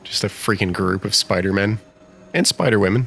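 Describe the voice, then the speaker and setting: With an American accent and a fairly low pitch, a man talks at a fairly quick pace over noticeable background noise. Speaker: gaming YouTuber. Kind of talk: let's play commentary. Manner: animated.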